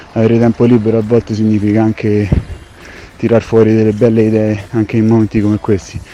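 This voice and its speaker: A fairly low-pitched man's voice, fairly quick and monotone with flat intonation, set against noticeable background noise. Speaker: chef. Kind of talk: voice message monologue. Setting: recorded at home.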